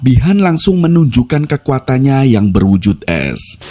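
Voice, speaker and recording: A speaker with a Javanese accent talks at a moderate pace, the pitch swinging very widely. Background noise is noticeable. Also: man. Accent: Javanese accent (medok). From Java, Indonesia. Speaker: movie recap narrator. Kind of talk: scripted narration.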